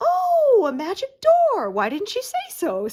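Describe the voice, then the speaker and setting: A woman's put-on character voice at an extremely high pitch and a fairly slow pace. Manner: cat voice.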